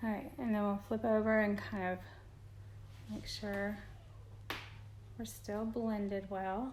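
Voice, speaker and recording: Woman with an American accent at a fairly slow pace, long, frequent pauses, audible room echo and noticeable background noise. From Indiana, US Midwest. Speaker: beauty vlogger. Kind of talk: makeup tutorial. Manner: quiet, concentrating.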